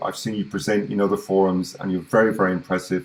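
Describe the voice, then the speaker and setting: Talking at a very fast pace, a man with a British accent keeps a fairly low pitch and monotone, flat intonation. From UK. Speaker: webinar host. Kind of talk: online event introduction. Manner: hesitant, many fillers.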